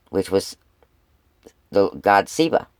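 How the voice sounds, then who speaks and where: Dry and close with no echo, a man's fairly low-pitched voice carries lively intonation. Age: 60s. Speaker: couponing and prepping YouTuber. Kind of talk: casual vlog talk. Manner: conversational, with filler words.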